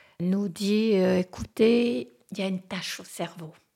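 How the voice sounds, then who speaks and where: A woman's dark, mellow voice with vocal fry, at a very slow pace, on a very clean recording with a silent background. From French-speaking Switzerland. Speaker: interviewee sharing life story. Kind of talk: personal testimony. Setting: at her home in the countryside.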